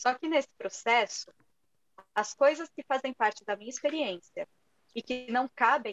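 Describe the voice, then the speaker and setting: In a São Paulo accent, a woman speaks at a high pitch and a fairly slow pace with ordinary pitch variation. The recording is dry and close with no echo. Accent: Brazilian Portuguese, Paulista. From Brazil, São Paulo. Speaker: writer and teacher. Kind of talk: casual interview.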